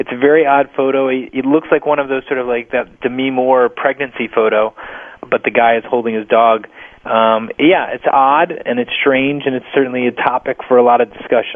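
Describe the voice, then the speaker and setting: In an American accent, a man with an unremarkable speaking voice talks at a fairly quick pace and medium pitch with fairly even intonation. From US Northeast (New Jersey). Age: 30s. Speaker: author and screenwriter. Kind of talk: radio interview.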